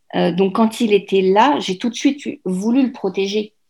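On a very clean recording with a silent background, a woman talks at a medium pitch and a fairly slow pace. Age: 40s. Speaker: mother and blogger. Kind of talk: interview. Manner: halting.

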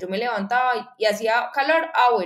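The woman has a normal speaking voice with a fairly high pitch. She talks at a fairly slow pace with lively intonation. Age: 20s. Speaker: coma survivor sharing personal story. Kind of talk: interview testimony.

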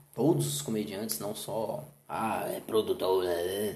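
A man speaks with very wide pitch swings, and the room echo is audible. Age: 30s. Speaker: comedian and comedy producer. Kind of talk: casual chat.

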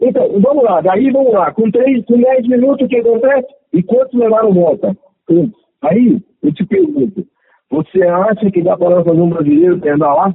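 A high-pitched man at a moderate pace, with lively intonation and very even loudness. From Brazil, São Paulo. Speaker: former motocross racer. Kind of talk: casual chat.

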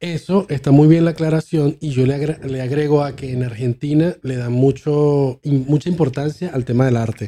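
This man has a dark, mellow tone and a fairly high pitch, talking at a moderate pace with hardly any pauses and fairly even intonation. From Venezuela, Maracay. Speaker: podcast host. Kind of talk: casual chat.

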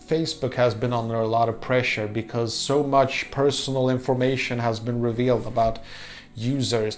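Noticeable background noise sits behind the speech. The speaker is a man with a medium pitch. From Poland. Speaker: YouTuber and podcaster. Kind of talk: vlog monologue. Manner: halting, many fillers.

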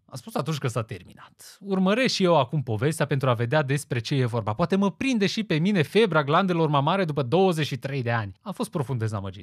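A man with a fairly high pitch speaks at a fairly quick pace with very wide pitch swings, hardly any pauses and a somewhat breathy sound. The recording is very clean, with a silent background. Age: 20s. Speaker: podcast host. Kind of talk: scripted monologue. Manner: formal.

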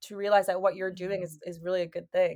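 A woman speaks with an American accent. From US Northeast. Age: 20s. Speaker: podcast host. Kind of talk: casual chat. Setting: video call.

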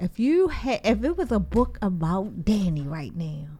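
Somewhat breathy, a woman speaks at a fairly slow pace with an animated tone and lively intonation. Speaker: podcast host. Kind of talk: casual chat.

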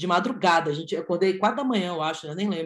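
This is a woman with an ordinary speaking voice at a medium pitch. Her pitch varies in an ordinary way. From Brazil, Brasília. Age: 20s. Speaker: physiotherapist and handball coach. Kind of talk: casual chat.

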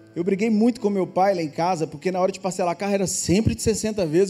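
A man's delivery is fairly quick. Background music can be heard. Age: 40s. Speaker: pastor. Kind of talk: sermon.

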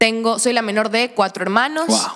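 This woman speaks at a moderate pace. Her pitch variation is ordinary. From Ecuador, Manabí (Santa Ana). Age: 20s. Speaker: actress and social media creator. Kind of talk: casual interview chat.

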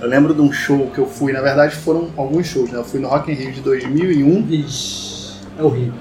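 With music playing behind him, a man speaks at a moderate pace in a fairly high voice with ordinary pitch variation. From Rio de Janeiro state, Vassouras. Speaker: podcast host. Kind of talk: casual chat among friends.

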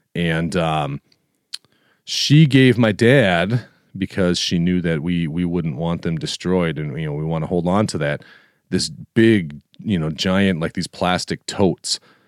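A man with a very deep, low pitch and ordinary pitch variation speaks at a fairly slow pace, on a very clean recording with a silent background and a dry, close sound with no echo. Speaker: podcast host. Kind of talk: casual solo monologue. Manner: gets big and boisterous when excited; casual, conversational.

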